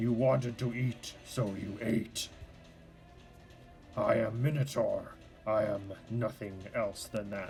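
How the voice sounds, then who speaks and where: Amid clear background noise, a man does a put-on character voice at a fairly slow pace. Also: medium pitch for a man. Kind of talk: broken English. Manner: gruff.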